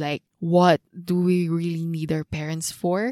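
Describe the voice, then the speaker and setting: A woman with a Filipino accent speaks at a fairly low pitch with fairly even intonation. Her dark, mellow tone comes through in a dry, close sound with no echo. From Philippines. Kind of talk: casual chat.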